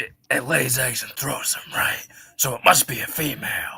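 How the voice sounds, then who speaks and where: A man's raspy, put-on character voice at medium pitch, with big swings in loudness. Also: moderate pace. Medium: game stream. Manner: terse, gravelly.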